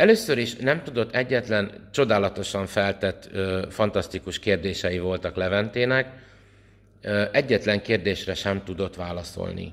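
A man speaks at a fairly slow pace with a fairly low pitch. His pitch varies in an ordinary way. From Hungary. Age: 40s. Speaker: priest and vlogger; priest, vlogger. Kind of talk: opinion vlog monologue. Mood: indignant, earnest. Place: home room. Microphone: phone near.

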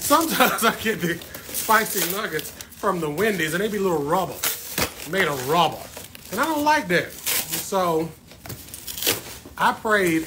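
Noticeable background noise runs behind a man who speaks at a moderate pace. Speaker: plant livestreamer. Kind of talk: casual livestream chat. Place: home room. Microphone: phone near.

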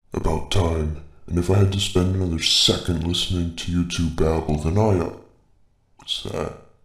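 A man puts on a cartoonish character voice, pitched very deep and low, speaking at a moderate pace. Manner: dry, sardonic, deadpan.

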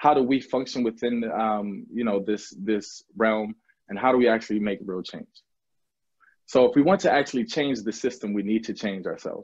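The background is quiet. A man talks at a moderate pace with ordinary pitch variation. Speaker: professor. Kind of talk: presentation. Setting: video call with screen share. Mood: earnest, thoughtful. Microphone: video call.

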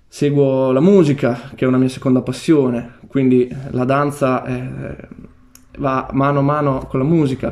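Monotone, flat intonation over a quiet background. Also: man, medium pitch for a man, fairly slow pace. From Marche, Italy. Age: 20s. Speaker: university student and breakdancer; interviewee. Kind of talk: interview. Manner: hesitant. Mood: calm, shy, warm. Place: home room.

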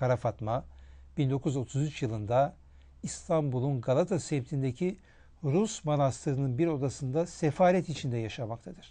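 This man's voice is fairly high in pitch, with a dark, mellow tone and a somewhat breathy quality. He goes at a fairly slow pace with ordinary pitch variation. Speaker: historian, TV presenter. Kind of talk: scripted narration. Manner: formal.

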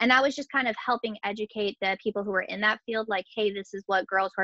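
In a dry, close sound with no echo, a woman speaks fast at medium pitch with a bright, sharp tone and fairly even intonation.

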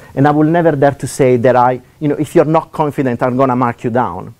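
A man speaks with an Italian accent. His tone is dark and mellow. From Italy. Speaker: economics lecturer; lecturer. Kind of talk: seminar talk. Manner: fast talker; hesitant, many fillers. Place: classroom.

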